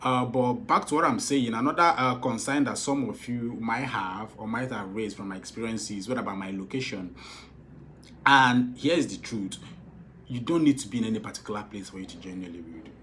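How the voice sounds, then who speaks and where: A man with a Nigerian accent at a fairly quick pace, medium pitch and ordinary pitch variation, big swings in loudness, audible room echo. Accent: Igbo-accented Nigerian English. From Nigeria, Igbo. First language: Igbo. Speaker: film director and producer. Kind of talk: casual advice talk to followers. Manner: repetitive, halting with fillers.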